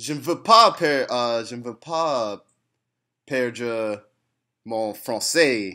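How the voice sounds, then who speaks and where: Very slow speech from a man comes with long, frequent pauses and big swings in loudness. His medium pitch shows ordinary variation and a bright, sharp tone, on a very clean recording with a silent background. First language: English (speaking French). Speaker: language learner. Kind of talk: casual chat. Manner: halting, many fillers.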